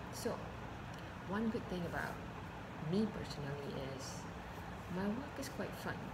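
A woman talks at a fairly slow pace with long, frequent pauses. Loud background noise runs underneath. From Malaysia. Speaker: branding specialist, voice over artist. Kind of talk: casual vlog talk to camera. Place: home room. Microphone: webcam.

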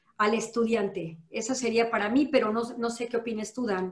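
A woman's high-pitched voice at a moderate pace with fairly even intonation, audible room echo and a quiet background. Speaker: law professor. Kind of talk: panel discussion. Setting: video call. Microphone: video call.

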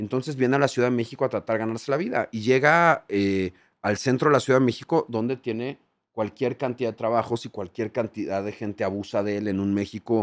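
The setting is quiet around a man's voice. He talks fairly quickly, varying his pitch in an ordinary way. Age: 40s. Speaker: TV presenter. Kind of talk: casual chat. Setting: hotel. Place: studio. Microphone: studio mic.

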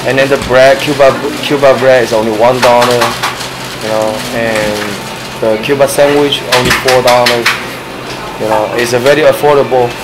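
Loud background noise sits behind a man talking at a moderate pace. He leaves long, frequent pauses. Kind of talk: interview answer. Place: shop. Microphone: camera far.

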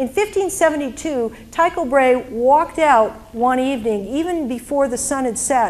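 Lively intonation in a woman's high voice. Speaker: presenter. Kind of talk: lecture. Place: hall. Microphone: handheld.

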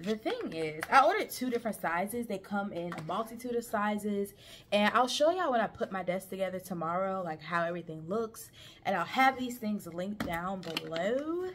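A woman talks at a fairly quick pace. Light background noise is present. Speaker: vlogger. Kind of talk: casual vlog chat. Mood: relaxed, chatty. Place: home room. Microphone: camera far.

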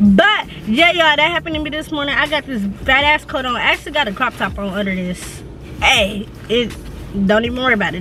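A woman's very fast speech, dry with no echo, over light background noise. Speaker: vlogger. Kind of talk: casual vlog chat. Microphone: phone near.

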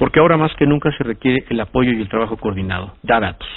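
This man's pitch is in the medium range. He talks very fast. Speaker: radio news host. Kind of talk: radio news commentary reading a press notice.

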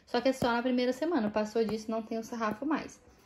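This woman speaks with a Brazilian accent. Her pitch is fairly high, with ordinary variation. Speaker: cosmetics sales consultant and video blogger; cosmetics sales consultant, video blogger. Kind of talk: product walkthrough video. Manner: casual, conversational. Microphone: phone near.

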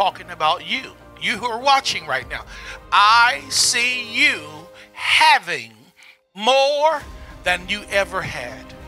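A man's extremely high-pitched voice with lively intonation, faint music in the background. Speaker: prophet, preacher. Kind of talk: prophetic word, sermon-style address to camera. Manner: emphatic, rhetorical, repeating phrases. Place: studio. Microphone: handheld.

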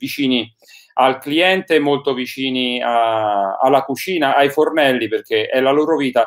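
A man speaks fairly slowly with ordinary pitch variation, and the background is quiet. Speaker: online show host. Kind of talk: interview host introduction. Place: home room. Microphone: webcam.

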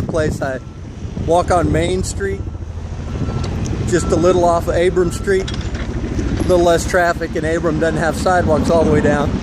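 Loud background noise runs throughout as the words come at a fairly slow pace. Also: man. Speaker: local vlogger. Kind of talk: casual vlog chat. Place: street. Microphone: phone near.

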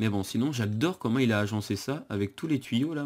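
The man talks fairly quickly, with ordinary pitch variation, in a very clean recording with a silent background. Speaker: gaming youtuber. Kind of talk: let's play commentary. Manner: halting, many fillers and repetitions. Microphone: new setup, improved sound quality.

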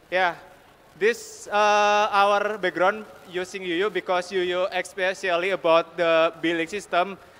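A man's high, bright and sharp voice with an Indonesian accent, very slow and monotone, with flat intonation. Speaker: software team lead; conference speaker. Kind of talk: conference talk. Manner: halting, many fillers. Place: hall. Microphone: podium.

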